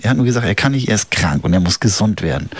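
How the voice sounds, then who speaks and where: A man speaks over noticeable background noise. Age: 40s. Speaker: community radio host. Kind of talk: casual radio chat. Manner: casual, hesitant with many fillers.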